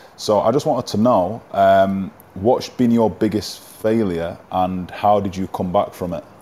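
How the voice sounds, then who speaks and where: A man with an English accent speaks at a fairly slow pace in a fairly low, dark, mellow voice, with fairly even intonation and hardly any pauses. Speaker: boxing professional.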